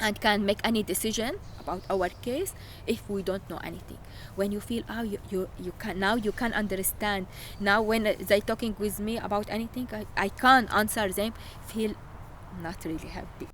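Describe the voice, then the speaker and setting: A woman with an Arabic accent speaks at a medium pitch and a moderate pace, her intonation fairly even. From Syria. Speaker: refugee. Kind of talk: interview testimony. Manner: halting.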